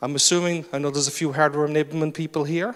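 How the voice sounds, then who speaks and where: Someone speaks in an animated tone with a Cork accent. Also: man. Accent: Cork accent, sing-song. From Ireland, Cork city. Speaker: conference speaker. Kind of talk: conference talk. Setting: stage with audience. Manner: rises in pitch when excited.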